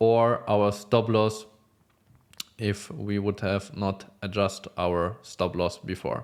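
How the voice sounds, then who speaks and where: Someone with a non-native accent speaks on a very clean recording with a silent background. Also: man. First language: not English. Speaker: futures trader. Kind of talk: trade recap tutorial. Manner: halting, many fillers.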